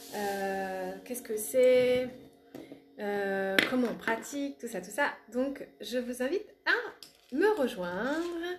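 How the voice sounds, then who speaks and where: At a very slow pace, a woman speaks with a high pitch and lively intonation. Noticeable background noise is present. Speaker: spiritual coach and relaxation therapist. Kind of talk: casual live greeting to viewers. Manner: chatty, informal.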